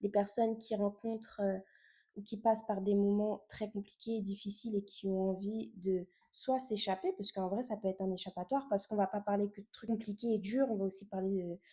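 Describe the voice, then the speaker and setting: A woman's somewhat breathy, dark, mellow voice at a medium pitch, with monotone, flat intonation and a fairly quick pace. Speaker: podcast host. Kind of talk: casual podcast monologue. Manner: hesitant, many fillers.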